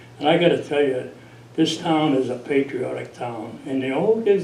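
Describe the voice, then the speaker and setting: There is noticeable background noise and audible room echo as a man speaks at a fairly high pitch. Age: 80s+. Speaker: veteran volunteer. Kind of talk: radio interview.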